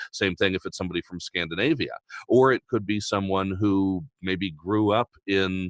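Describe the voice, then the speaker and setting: In an American accent, a man speaks at a moderate pace with a very deep, low pitch. The recording is very clean with a silent background and a dry, close sound with no echo. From Mid-Atlantic United States. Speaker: voice actor. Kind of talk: casual talk to camera.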